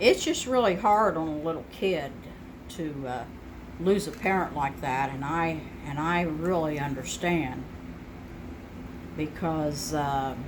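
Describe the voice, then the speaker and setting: A woman with a very deep, low voice and ordinary pitch variation talks at a fairly slow pace with long, frequent pauses, amid noticeable background noise and audible room echo. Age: 60s. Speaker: home cook sharing family memories. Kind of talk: casual interview while cooking. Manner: hesitant, many fillers.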